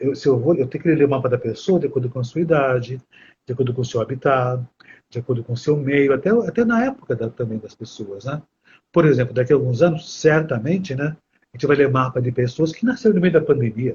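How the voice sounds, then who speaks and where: Somewhat breathy and fairly high in pitch, a man speaks at a very fast pace with ordinary pitch variation. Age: 60s. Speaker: astrology teacher. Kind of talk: live stream conversation. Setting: live stream.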